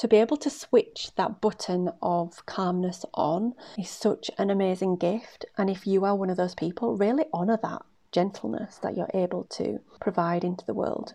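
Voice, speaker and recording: Her tone is dark and mellow, at a medium pitch. The woman talks at a moderate pace with ordinary pitch variation. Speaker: podcast host and career coach. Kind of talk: solo podcast monologue.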